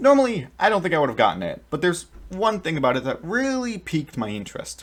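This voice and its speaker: This man's pitch swings very widely on a very clean recording with a silent background. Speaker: book reviewer. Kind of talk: scripted book review to camera.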